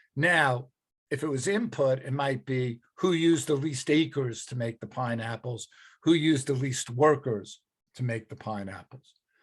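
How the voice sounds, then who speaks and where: On a very clean recording with a silent background, a somewhat breathy man speaks at a medium pitch and moderate pace with ordinary pitch variation. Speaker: economics teacher. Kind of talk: lecture.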